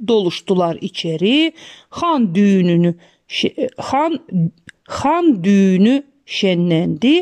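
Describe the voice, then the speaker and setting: Speaking at a very slow pace, a woman uses a medium pitch, and the sound is dry and close with no echo. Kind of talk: rhythmic folk tale narration. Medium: read story.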